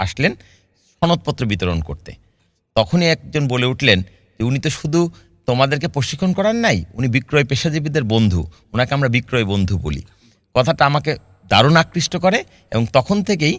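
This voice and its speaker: The recording is very clean, with a silent background. A man with a medium pitch speaks in very wide pitch swings. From Chuadanga, southwestern Bangladesh. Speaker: sales trainer. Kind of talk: interview. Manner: formal.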